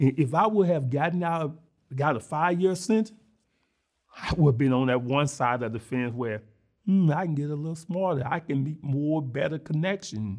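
A plain, everyday voice with an American accent moves at a moderate pace with ordinary pitch variation. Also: man, fairly high pitch for a man. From Mississippi, US South. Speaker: former prisoner and reentry program founder. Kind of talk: interview testimony.

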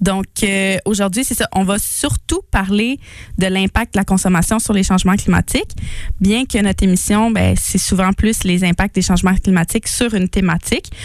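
A woman with a Quebec accent speaks at a moderate pace and medium pitch, with fairly even intonation and very even loudness. The sound is dry and close, with no echo. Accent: Québécois French. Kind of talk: casual chat.

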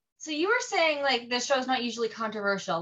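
Noticeable background noise sits behind a woman's voice. She talks at a very fast pace with lively intonation. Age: 20s. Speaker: podcast host. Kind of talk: casual chat.

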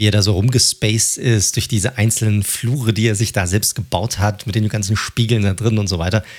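This man has a plain, everyday voice, fairly low in pitch, with very even loudness and fairly even intonation. He talks at a fairly quick pace with hardly any pauses. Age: 30s. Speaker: podcast host. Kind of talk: casual chat.

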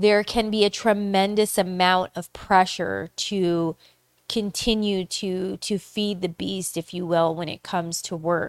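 Recorded very cleanly with a silent background and a dry, close sound with no echo, a woman speaks at a fairly slow pace in a medium pitch with monotone, flat intonation. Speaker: podcast host. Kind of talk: casual solo monologue.

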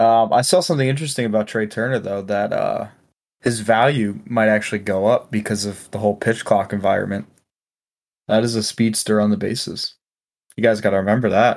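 Here is a man with an unremarkable speaking voice, fairly low in pitch and with ordinary pitch variation. His pace is fairly quick, and the recording is very clean with a silent background. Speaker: sports podcast host. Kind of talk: casual chat. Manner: laughs often.

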